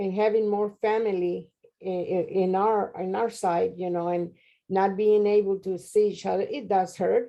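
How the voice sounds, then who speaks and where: Speaking with a Spanish accent, a woman keeps a moderate pace and a monotone, flat intonation. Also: medium pitch for a woman. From Mexico (Monterrey). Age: 70s. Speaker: interviewee, grandmother. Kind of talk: interview.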